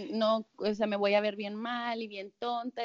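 The pace here is fairly slow. It is an unremarkable speaking voice. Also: woman. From Monterrey, Mexico. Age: 20s. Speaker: life coach. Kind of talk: casual chat.

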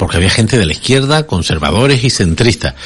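This man's pitch swings very widely. There is a somewhat breathy quality to his speech. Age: 60s. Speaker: politician. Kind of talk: radio interview. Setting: studio.

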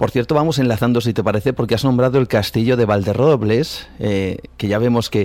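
Speaking at a fairly quick pace, a man uses an unremarkable speaking voice with medium pitch and ordinary pitch variation. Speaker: radio host. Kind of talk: radio show presenting and interview.

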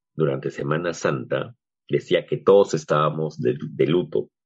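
A man talks at a fairly slow pace with a very deep, low pitch. Vocal fry runs through his speech, and his pitch varies in an ordinary way. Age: 40s. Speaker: psychologist and podcast host. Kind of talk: casual chat.

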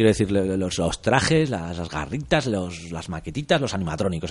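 Very deep and low in pitch, a man talks at a moderate pace with vocal fry. His pitch swings very widely. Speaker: film podcast host. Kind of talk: casual chat.

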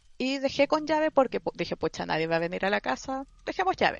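A woman with a Chilean accent, fairly quick in pace, with very wide pitch swings. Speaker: podcast panelist. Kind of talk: casual group chat.

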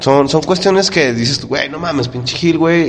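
A man speaks with a Mexican accent at a moderate pace, with ordinary pitch variation. Noticeable background noise runs under his voice. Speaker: podcast co-host. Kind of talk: casual chat.

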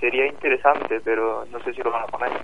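Speaking with an Andalusian accent, a man talks fairly quickly at medium pitch. Noticeable background noise runs underneath. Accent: Córdoba Andalusian. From Córdoba, Spain. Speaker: contest winner, student. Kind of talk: casual radio interview.

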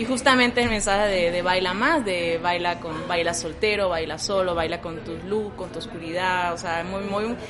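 Music plays in the background while a woman talks with hardly any pauses. Room echo is audible. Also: medium pitch for a woman, ordinary pitch variation, moderate pace. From Venezuela. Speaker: photographer. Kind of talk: interview.

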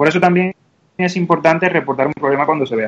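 A man with a Cuban accent talks at a fairly high pitch with fairly even intonation. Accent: Cuban, noticeable. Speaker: app developer. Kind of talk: interview. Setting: online call.

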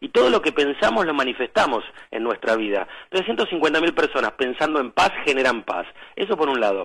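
His pitch is fairly high and swings very widely. The man keeps a moderate pace. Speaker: spiritual guide. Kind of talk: casual chat. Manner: animated.

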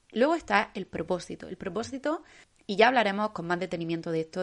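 A woman talks at a fairly quick pace in an ordinary speaking voice with a medium pitch. Her background is quiet. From Spain, Almería. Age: 20s. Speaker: podcast host. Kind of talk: solo motivational podcast monologue.

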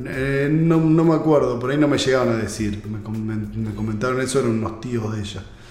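A man talking at a fairly quick pace with hardly any pauses and ordinary pitch variation, amid audible room echo and noticeable background noise. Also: medium pitch for a man. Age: 40s. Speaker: musician. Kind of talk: casual chat.

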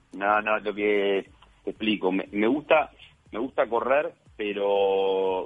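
A fairly low-pitched man's voice in a Uruguayan accent, at a very slow pace. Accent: Uruguayan Spanish (Rioplatense). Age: 40s. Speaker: sports journalist. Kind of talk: interview.

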